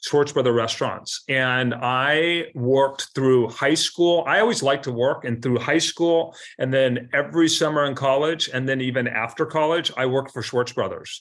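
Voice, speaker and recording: This man has an ordinary speaking voice, fairly high in pitch, with an American accent and fairly even intonation. He keeps a moderate pace with hardly any pauses, on a very clean recording with a silent background. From US Pacific Northwest, Seattle. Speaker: commercial real estate broker. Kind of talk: interview.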